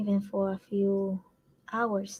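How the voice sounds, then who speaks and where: A woman's somewhat breathy voice, medium in pitch, with a dark, mellow tone. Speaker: family caregiver and challenge host. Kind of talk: live stream talk to group. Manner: slow.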